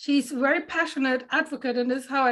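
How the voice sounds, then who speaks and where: A woman with a German accent speaks at a high pitch and a fairly quick pace. Her intonation is monotone and flat. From Germany. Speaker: panel moderator. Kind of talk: panel introduction.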